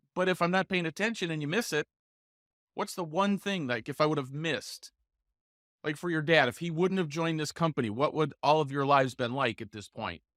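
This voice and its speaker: In a normal speaking voice, someone talks at a fairly quick pace with ordinary pitch variation, the sound dry and close with no echo. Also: man, fairly high pitch for a man, very clean recording, silent background. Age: 60s. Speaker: podcast host and real estate coach. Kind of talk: casual interview chat.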